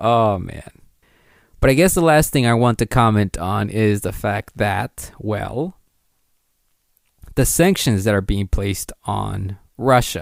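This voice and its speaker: In a very clean recording with a silent background and a dry, close sound with no echo, a man speaks very slowly at a fairly low pitch with ordinary pitch variation and long, frequent pauses. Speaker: podcast host. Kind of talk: solo podcast commentary. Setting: home recording at night, guests asleep. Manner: soft-spoken, kept quiet to avoid waking guests; sounds nervous, halting with fillers.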